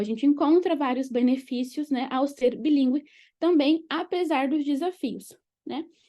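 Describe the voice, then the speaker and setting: A high-pitched woman with a dark, mellow tone and ordinary pitch variation, at a moderate pace over a quiet background. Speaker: education lecturer. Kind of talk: lecture.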